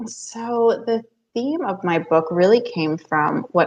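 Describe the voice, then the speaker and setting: A woman talks with a New Jersey accent. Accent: American, New Jersey. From US, New Jersey. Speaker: author and business coach. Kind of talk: podcast interview.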